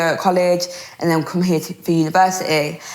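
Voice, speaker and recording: Noticeable background noise accompanies a woman speaking at a fairly low pitch and a fairly quick pace. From Birmingham, England. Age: 20s. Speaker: radio presenter and DJ. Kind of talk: interview conversation. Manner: fast; animated.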